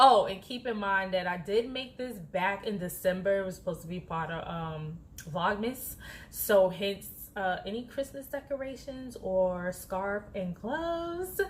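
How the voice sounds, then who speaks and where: Speaking at a fairly slow pace, the speaker has lively intonation and a somewhat breathy sound. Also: woman, medium pitch for a woman. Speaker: flight attendant vlogger. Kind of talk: casual vlog talk. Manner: soft-spoken when others near; animated.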